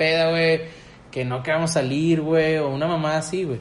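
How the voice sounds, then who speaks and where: This man talks at a fairly quick pace. His pitch is fairly high. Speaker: podcast host. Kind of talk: casual chat.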